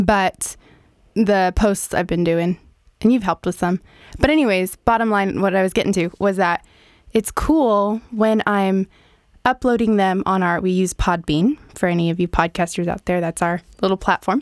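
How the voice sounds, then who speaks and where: In a very clean recording with a silent background and a dry, close sound with no echo, a woman of medium pitch speaks at a moderate pace with ordinary pitch variation, an ordinary speaking voice. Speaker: podcast host. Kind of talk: casual chat.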